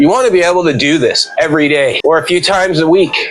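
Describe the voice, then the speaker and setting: Noticeable background noise surrounds a man speaking in a high pitch at a fairly quick pace. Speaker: fitness vlogger. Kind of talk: casual talk to camera while walking. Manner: slightly out of breath.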